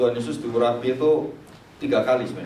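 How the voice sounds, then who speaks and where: A man talks at a medium pitch with fairly even intonation. Audible room echo and noticeable background noise are present. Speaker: Bible teacher. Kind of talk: lecture. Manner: loud.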